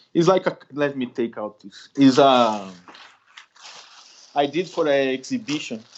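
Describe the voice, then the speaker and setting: Very slowly, a man with a Brazilian accent speaks at a medium pitch. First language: Portuguese. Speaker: street artist. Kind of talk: interview conversation. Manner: halting.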